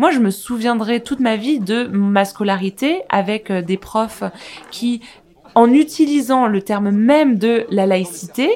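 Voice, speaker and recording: A woman with a fairly high pitch talks while noticeable background noise runs underneath. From France. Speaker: podcast host. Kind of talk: casual discussion.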